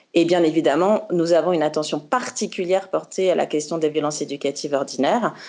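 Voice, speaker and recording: Very deep and low, a woman's voice races at a very fast pace with hardly any pauses and very even loudness over a quiet background. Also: ordinary pitch variation. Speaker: founder of a parenting magazine website, speaker at conference. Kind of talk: conference talk. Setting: video conference.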